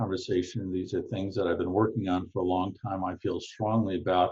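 A man with an American accent talks at a fairly quick pace in a fairly low voice. His tone is dark and mellow and somewhat breathy. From United States. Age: 60s. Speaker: law professor. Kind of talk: interview.

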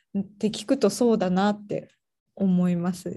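A woman speaks at medium pitch with a dark, mellow tone and a somewhat breathy quality. Her intonation is fairly even and her pace moderate. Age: 30s. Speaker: podcast host, relocation coordinator. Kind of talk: casual interview.

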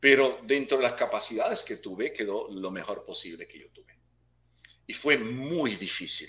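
A man speaks at a moderate pace, his loudness swinging widely up and down. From Puerto Rico. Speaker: actor and martial arts instructor. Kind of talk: interview. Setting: video call.

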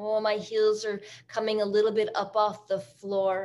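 This is a normal speaking voice from a woman. Her pitch is fairly high and her pace fairly slow. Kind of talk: guided yoga class instruction. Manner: calm, rhythmic, soothing cueing; warm, encouraging, reflective.

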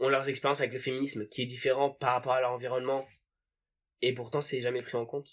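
A man talks very fast at a medium pitch with monotone, flat intonation. The recording is very clean, with a silent background. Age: 20s. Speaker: podcast guest, friend of host. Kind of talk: casual chat.

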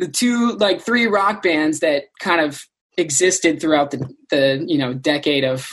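This man has an ordinary speaking voice and lively intonation. He speaks at a fairly slow pace. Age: 20s. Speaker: rock band singer. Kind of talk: interview.

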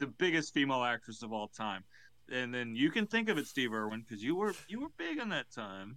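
At a fairly quick pace, a man with medium pitch and a bright, sharp tone uses very wide pitch swings. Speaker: podcast co-host. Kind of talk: casual comedic banter, crude.

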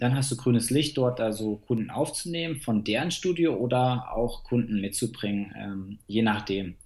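Fairly slow pace and ordinary pitch variation from an ordinary speaking voice. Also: man. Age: 30s. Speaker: fitness coach. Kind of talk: interview.

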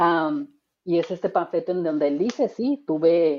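Her voice is an ordinary speaking voice, a woman's at a fairly low pitch with lively intonation. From Tijuana, Mexico. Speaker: podcast host, radio announcer and traffic reporter. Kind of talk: casual chat. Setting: remote recording.

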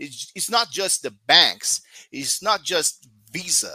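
Bright and sharp in tone, a man speaks at a fairly slow pace with very wide pitch swings, the sound dry and close with no echo on a very clean recording with a silent background. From Brazil. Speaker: crypto writer. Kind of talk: casual chat.

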